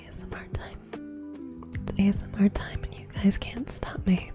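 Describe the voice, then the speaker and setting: The speaker whispers at a moderate pace. Music plays in the background. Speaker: streamer. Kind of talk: casual chat. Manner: whispering.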